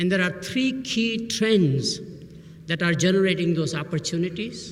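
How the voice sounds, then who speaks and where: With an Indian accent, a man talks at a moderate pace in a high pitch, and audible room echo surrounds him. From Burma, Indian family. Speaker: professor. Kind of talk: commencement speech.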